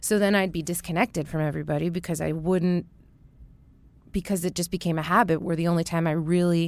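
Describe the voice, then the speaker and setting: Recorded very cleanly against a silent background, a woman with an unremarkable speaking voice talks with fairly low pitch and fairly even intonation. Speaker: singer-songwriter. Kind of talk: casual chat.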